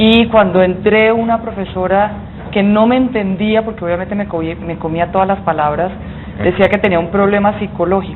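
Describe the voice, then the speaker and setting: Against noticeable background noise, a woman at a medium pitch talks at a moderate pace with fairly even intonation. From Colombian Caribbean coast, Santa Marta. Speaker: business association executive, former minister. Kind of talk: TV interview.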